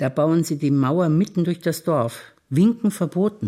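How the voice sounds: Over a silent background on a very clean recording, a woman with a low pitch and a dark, mellow tone speaks at a moderate pace with lively intonation.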